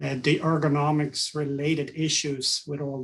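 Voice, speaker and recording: A somewhat breathy man's voice with a Swedish accent and a monotone, flat intonation. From Sweden. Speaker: ergonomics consultant. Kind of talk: podcast interview.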